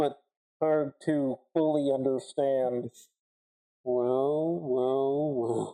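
A put-on character voice at low-to-middle pitch, very slow, with long, frequent pauses. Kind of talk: villain parody with heavy disguise effect. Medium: actual play. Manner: mocking, theatrical.

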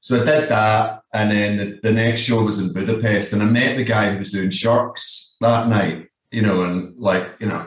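A man with a fairly low voice. He talks with hardly any pauses. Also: moderate pace. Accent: Scottish. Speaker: band merchandise worker. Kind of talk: casual interview chat. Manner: animated.

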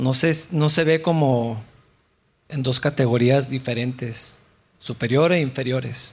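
A man speaks very slowly at a medium pitch, his voice somewhat breathy. His intonation is fairly even, and the recording is very clean with a silent background. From Mexico. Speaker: pastor. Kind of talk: sermon.

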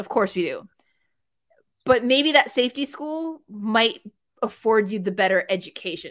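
With lively intonation and long, frequent pauses, a woman speaks at a moderate pace in a fairly high pitch. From New Jersey, raised in US South. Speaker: wrestling journalist. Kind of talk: casual chat.

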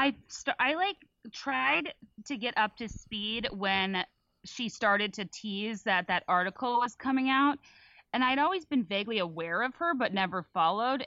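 A woman with a normal speaking voice, fairly high in pitch, moderate in pace, and lively in intonation. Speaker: podcaster. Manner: articulate.

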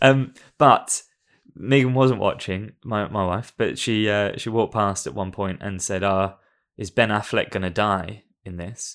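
On a very clean recording with a silent background, a man with an unremarkable speaking voice talks at a fairly low pitch and fairly slow pace, with ordinary pitch variation and big swings in loudness. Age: 30s. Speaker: film podcast guest. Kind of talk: casual chat.

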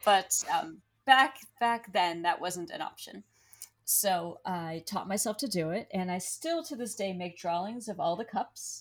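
Using a normal speaking voice, a woman talks at a fairly slow pace. Her pitch is medium and her intonation lively. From Pennsylvania, US. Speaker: tea leaf reader and diviner. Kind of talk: interview.

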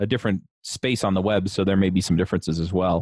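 A man speaks at a fairly quick pace in a normal speaking voice. His pitch sits fairly low. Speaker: podcast host. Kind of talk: interview, casual chat.

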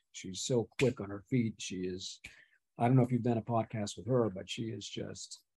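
Speaking at a moderate pace with an American accent, a man uses a medium pitch, fairly even intonation and a somewhat breathy sound. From Pittsburgh, US. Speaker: retired CEO and reality show contestant. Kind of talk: interview, casual chat.

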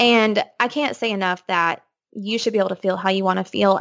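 A woman with a Texan accent. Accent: Texan American. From East Texas. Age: 20s. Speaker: occupational therapist, expectant mother. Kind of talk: casual interview.

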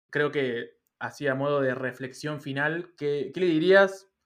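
Someone with a Rioplatense accent speaks at a fairly slow pace with ordinary pitch variation. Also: man. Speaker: podcast host. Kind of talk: interview. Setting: online call.

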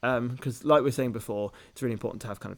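On a very clean recording with a silent background, a man with a British accent speaks at medium pitch with ordinary pitch variation. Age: 20s. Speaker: medical student podcast co-host. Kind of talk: casual chat.

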